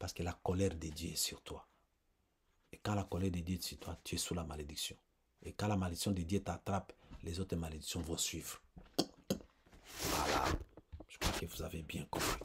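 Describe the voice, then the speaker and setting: A man with a very deep, low, somewhat breathy voice speaks in a flat monotone, leaving long, frequent pauses. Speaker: preacher. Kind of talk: sermon. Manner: slow.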